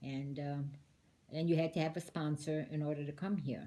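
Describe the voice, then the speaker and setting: A woman with an American accent speaks at a moderate pace in a very deep, low voice. Her dark, mellow tone is somewhat breathy, and her intonation is monotone and flat. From Detroit, Michigan, US. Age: 70s. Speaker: interviewee, immigrant great-aunt. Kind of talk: casual interview.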